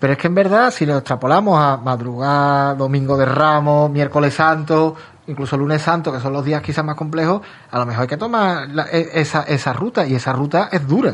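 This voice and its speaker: With a normal speaking voice, a man talks at a moderate pace in a fairly high pitch, with ordinary pitch variation. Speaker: radio host. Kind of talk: casual chat.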